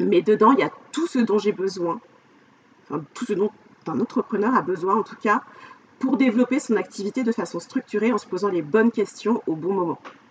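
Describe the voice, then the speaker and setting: A woman with a medium-pitched voice and lively intonation speaks at a moderate pace, with long, frequent pauses and noticeable background noise. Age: 40s. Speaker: life coach. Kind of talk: casual interview chat. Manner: hesitant, many fillers.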